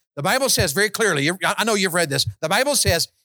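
In a dry, close recording with no echo, a man talks in a high, bright, sharp voice, animated in tone and with very wide swings in pitch. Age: 50s. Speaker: evangelist. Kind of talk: sermon.

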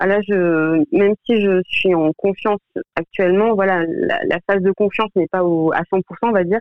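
A woman with a medium pitch talks at a fairly slow pace, her intonation fairly even and her loudness very even. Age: 30s. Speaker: medical secretary. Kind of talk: testimony. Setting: radio studio. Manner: halting.

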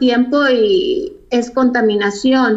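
A woman is speaking. Her pitch is high. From Mexico (Mexico City, then Tijuana). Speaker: fashion designer. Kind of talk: interview.

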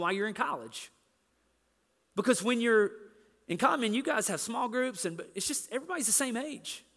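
A man's extremely high-pitched, raised and projected voice, bright and sharp in tone, at a fairly quick pace with ordinary pitch variation. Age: 40s. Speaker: pastor. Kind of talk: sermon.

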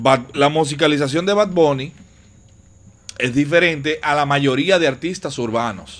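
With a Dominican Cibao accent, a man speaks fairly slowly in a fairly high voice with ordinary pitch variation. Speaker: podcast host. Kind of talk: casual chat.

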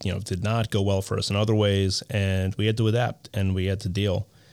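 A man's unremarkable speaking voice, fairly low in pitch, with fairly even intonation. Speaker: podcast host. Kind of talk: casual interview chat.

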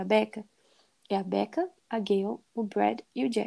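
A woman speaks at a medium pitch in a monotone, flat way. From Brazil, Belo Horizonte, Minas Gerais. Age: 20s. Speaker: podcast host. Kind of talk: casual chat.

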